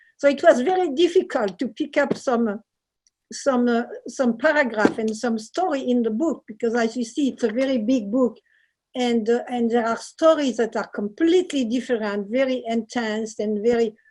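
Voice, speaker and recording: A woman's high-pitched voice in a French accent, at a moderate pace with ordinary pitch variation. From southern France, Marseille. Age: 70s. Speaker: painter and author. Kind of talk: book reading. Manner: halting.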